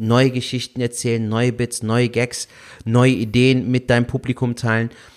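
A man speaks at medium pitch with a slight Rhineland accent. His pace is moderate. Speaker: stand-up comedian. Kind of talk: casual chat. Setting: video call. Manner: melodic.

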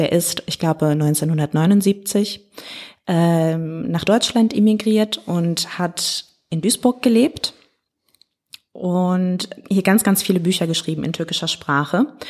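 A woman's fairly low voice with ordinary pitch variation, a very slow pace, and long, frequent pauses. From Ruhr area, Germany (Hagen). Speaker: artist, curator and consultant. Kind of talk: casual interview.

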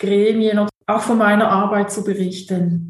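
Fairly slow speech from a woman, fairly high in pitch, amid audible room echo. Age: 50s. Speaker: theologian and church social worker. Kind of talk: interview. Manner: halting, many fillers and repetitions.

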